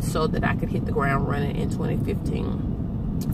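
A woman is speaking. Loud background noise fills the recording. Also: dry sound with no echo. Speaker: vlogger. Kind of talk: casual vlog chat. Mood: relaxed, upbeat. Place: car. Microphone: phone near.

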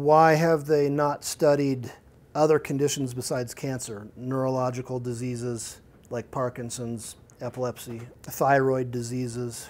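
A man with a normal speaking voice talks at a moderate pace, medium in pitch, with fairly even intonation. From Colorado, Jefferson County. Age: 50s. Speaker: software architect and activist. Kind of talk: guest lecture.

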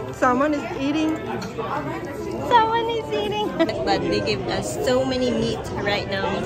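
There is crowd noise in the background, though the sound is dry with no echo. A woman speaks at a fairly slow pace. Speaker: vlogger filming a meal. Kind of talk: casual vlog chat. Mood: cheerful, relaxed. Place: cafe. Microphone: phone near.

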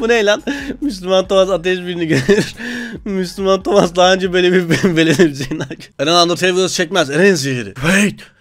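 Fairly quick, high-pitched speech from a man, with ordinary pitch variation. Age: 20s. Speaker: YouTuber. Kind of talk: meme reaction video. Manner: animated.

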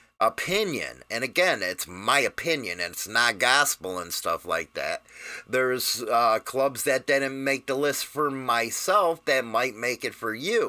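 Against a quiet background, a man talks at a fairly slow pace in a bright, sharp tone. His intonation is lively, with vocal fry. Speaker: biker channel host. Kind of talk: casual vlog commentary. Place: studio.

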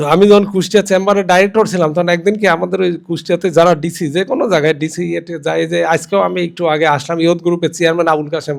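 This man speaks with a high pitch. His intonation stays fairly even. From Bangladesh, Kushtia. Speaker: businessman, former student. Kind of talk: memorial speech.

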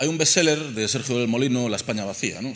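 Talking at a very fast pace, a man keeps his pitch variation ordinary. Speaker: archaeologist. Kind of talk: panel presentation. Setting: stage with audience. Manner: humorous. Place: hall.

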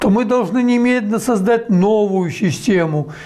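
This man has a high-pitched voice. His intonation is lively. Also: quiet background. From Belarus. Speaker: economist, former central bank head. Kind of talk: interview answer. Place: home room. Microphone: lapel.

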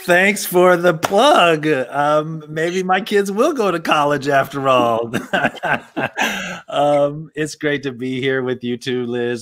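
Over a quiet background, a man speaks at a very slow pace with lively intonation. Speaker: panel co-host. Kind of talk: casual introduction on a panel. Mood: warm, joking. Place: studio.

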